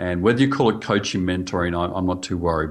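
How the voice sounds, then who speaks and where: A man with an Australian accent talks over a quiet background. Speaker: church leadership coach. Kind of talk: interview.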